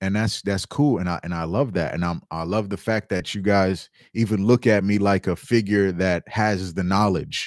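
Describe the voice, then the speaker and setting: In a New York accent, a man speaks at a moderate pace with a fairly low pitch and a passionate tone, on a very clean recording with a silent background and a dry, close sound with no echo. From New York City (Staten Island, Bronx). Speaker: livestreamer, mushroom grower. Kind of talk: casual livestream chat. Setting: livestream. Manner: loud.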